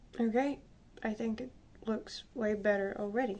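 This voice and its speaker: With a Slavic accent, a woman speaks at a moderate pace in a medium pitch and a dark, mellow tone. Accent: Slavic accent, non-native English. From Slavic country. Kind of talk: casual makeup tutorial talk to camera.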